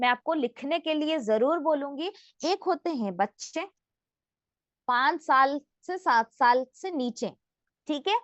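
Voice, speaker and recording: With a non-native accent, a woman speaks using very wide pitch swings. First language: not Hindi (speaking Hindi). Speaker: health product trainer. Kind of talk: training session. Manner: interactive, asks audience questions.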